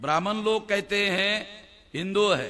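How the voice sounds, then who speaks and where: A man's voice is high in pitch. He speaks in a raised, projected voice. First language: Marathi (speaking Hindi). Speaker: activist speaker. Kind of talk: public speech.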